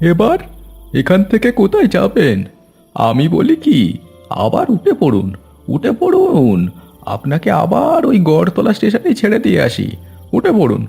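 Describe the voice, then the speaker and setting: Over faint background music, a man does a cartoonish character voice at a fairly slow pace. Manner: brusque, grumbling.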